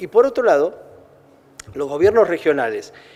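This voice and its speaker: The man speaks with an Argentine accent. His pace is moderate. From Argentina. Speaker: trade federation president. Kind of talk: press conference speech. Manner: halting, many repetitions and fillers.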